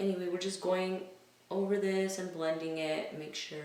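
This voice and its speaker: A woman with a fairly low pitch speaks at a fairly slow pace in a monotone, flat intonation. Noticeable background noise and audible room echo are present. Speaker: beauty vlogger. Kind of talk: makeup tutorial. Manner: casual, chatty.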